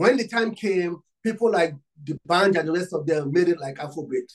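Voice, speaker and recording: The man's pitch is high, with ordinary variation. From Nigeria. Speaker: DJ. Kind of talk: interview.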